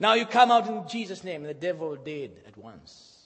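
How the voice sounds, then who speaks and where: This man's voice sits high in pitch, moving at a moderate pace with lively intonation. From Zimbabwe and Malawi. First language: Shona / Chichewa. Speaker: pastor. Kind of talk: sermon. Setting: church.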